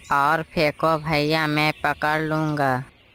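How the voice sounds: This is a cartoonish character voice at a middle pitch. The intonation stays monotone and flat.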